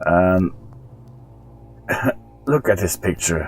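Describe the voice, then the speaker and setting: With music playing behind him, a man speaks in a very deep, low voice with a strong Norwegian accent. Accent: thick Norwegian. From Norway. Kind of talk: casual commentary to camera.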